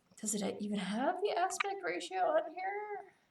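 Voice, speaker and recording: A woman is speaking. Her voice carries an audible room echo. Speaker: streamer crafting chainmail. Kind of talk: casual live-stream tutorial.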